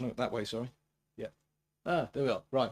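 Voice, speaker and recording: A man with a medium pitch talks in a British accent. The recording is very clean, with a silent background. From Britain. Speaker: sports journalist and writer. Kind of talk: conference talk. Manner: fast.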